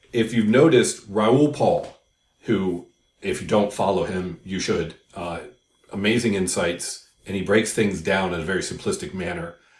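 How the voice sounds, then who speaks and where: At a moderate pace, a man with a fairly low, somewhat breathy voice speaks with ordinary pitch variation. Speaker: crypto YouTuber. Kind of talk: casual explainer video.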